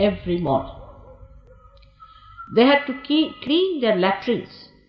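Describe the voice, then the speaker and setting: A woman speaks with very wide pitch swings. Music plays in the background. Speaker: spiritual teacher. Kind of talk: recorded talk recalling personal history.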